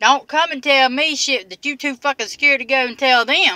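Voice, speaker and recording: A woman's raised, projected voice with a bright, sharp tone. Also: dry sound with no echo. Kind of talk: casual vlog chat. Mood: irritated, defiant about work drama. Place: car. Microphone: phone near.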